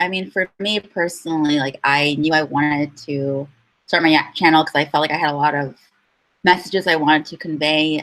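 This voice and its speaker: Moderate pace and fairly even intonation. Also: woman. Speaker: YouTuber, lifestyle channel host. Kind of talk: casual livestream chat. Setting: livestream video call. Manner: halting, rambling.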